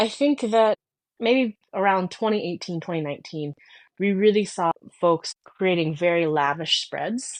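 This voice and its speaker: Recorded with a dry, close sound and no echo over a quiet background, a woman with a plain, everyday voice and an American accent speaks at a fairly slow pace, medium in pitch with lively intonation. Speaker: podcast co-host. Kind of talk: casual chat.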